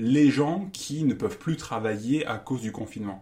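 A man talks with lively intonation. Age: 40s. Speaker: math teacher and writer. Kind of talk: interview. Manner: halting.

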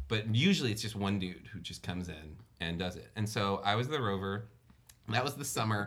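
With an American accent, the speaker's voice carries audible room echo. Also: man, fairly low pitch for a man, ordinary pitch variation, fairly quick pace. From US South, New Orleans, Louisiana. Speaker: writer-director and actor. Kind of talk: casual storytelling chat.

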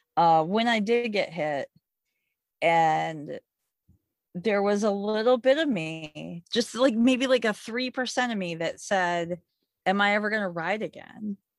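In an American accent, a woman with a normal speaking voice talks at medium pitch with lively intonation, on a very clean recording with a silent background. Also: fairly slow pace. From Michigan, US Midwest. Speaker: moped rider. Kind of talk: casual chat.

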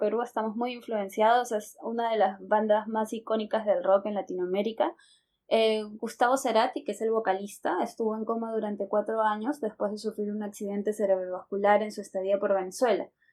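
A normal speaking voice from a woman, fairly high in pitch, with hardly any pauses, on a very clean recording with a silent background. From Lima, Peru. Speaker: Spanish teacher, podcast co-host. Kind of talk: casual language-learning conversation.

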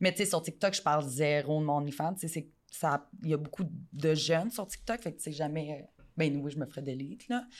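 A woman with a Quebec accent and a very deep, low pitch speaks at a fairly quick pace, her loudness swinging widely and her pitch varying in an ordinary way, on a very clean recording with a silent background. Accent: Québécois French. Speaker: adult content creator. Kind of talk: casual interview.

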